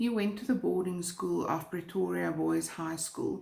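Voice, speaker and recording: A woman with a South African accent speaks at a moderate pace. Audible room echo can be heard. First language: Afrikaans. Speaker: true crime YouTuber. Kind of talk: true crime storytelling.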